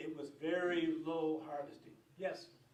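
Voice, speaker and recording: Amid audible room echo, a man speaks in a monotone, flat delivery at a fairly high pitch. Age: 70s. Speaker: retired fisheries advisory committee chairman. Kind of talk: storytelling at public meeting. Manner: halting.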